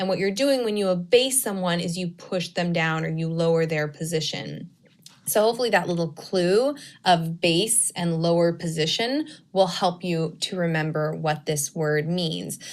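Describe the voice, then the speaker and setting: A woman with a fairly low pitch and lively intonation speaks in an unremarkable speaking voice. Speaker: teacher. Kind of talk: recorded lesson.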